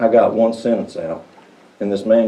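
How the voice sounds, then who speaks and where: Speaking with a Southern US accent, a man keeps a moderate pace. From Cagle Mountain, Southern US. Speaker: public speaker.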